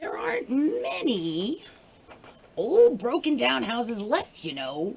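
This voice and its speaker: A woman's put-on character voice, croaky and shrill. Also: fairly high pitch for a woman, fairly slow pace. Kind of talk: bedtime story. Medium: read story. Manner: cranky, scolding.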